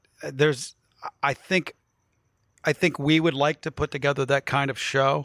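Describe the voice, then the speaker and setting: A man with an American accent talks at a fairly high pitch in a flat monotone, with long, frequent pauses. The recording is very clean, with a silent background and a dry, close sound with no echo. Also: moderate pace. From West Virginia, northern panhandle (Wheeling area). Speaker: radio host. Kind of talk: casual chat. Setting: studio. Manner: loud.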